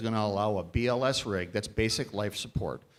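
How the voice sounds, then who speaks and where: On a very clean recording with a silent background, a man speaks in an American accent at a fairly quick pace. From Upper Peninsula of Michigan. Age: 60s. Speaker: political candidate. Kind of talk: candidate forum answer. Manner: halting, many restarts.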